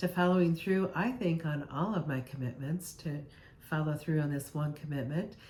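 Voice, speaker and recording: Her voice is an unremarkable speaking voice, a woman's, fairly low in pitch with ordinary variation and a moderate pace. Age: 60s. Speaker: health vlogger. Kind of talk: casual vlog monologue.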